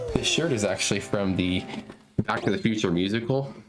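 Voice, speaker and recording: A man's voice with audible room echo and noticeable background noise. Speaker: video game streamer. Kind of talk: casual live stream chat. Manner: loud.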